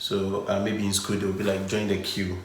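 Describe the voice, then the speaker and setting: Someone with a Ghanaian accent speaks over noticeable background noise. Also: man. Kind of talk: casual conversation to camera.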